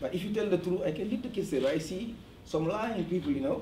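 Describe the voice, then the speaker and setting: Audible room echo surrounds a man's voice. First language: French. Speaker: parent at community meeting. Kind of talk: community meeting testimony. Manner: halting.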